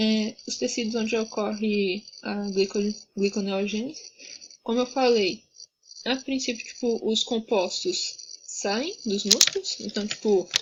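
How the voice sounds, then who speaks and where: A woman speaks at a very slow pace, leaving long, frequent pauses. Her voice is fairly high-pitched and somewhat breathy. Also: ordinary pitch variation. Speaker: student tutor. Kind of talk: tutoring session.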